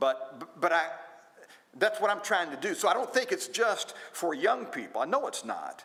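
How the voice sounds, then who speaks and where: In an American accent, a raised, projected voice with a bright, sharp tone swings very widely in pitch. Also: man. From United States. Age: 60s. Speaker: preacher and Bible class teacher. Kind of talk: Bible class lesson. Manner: halting, with frequent restarts.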